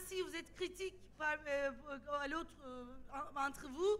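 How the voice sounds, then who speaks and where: Projecting a raised voice with a bright, sharp tone, a woman speaks at a fairly slow pace with ordinary pitch variation. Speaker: sociologist and activist. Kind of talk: panel debate. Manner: halting, many repetitions.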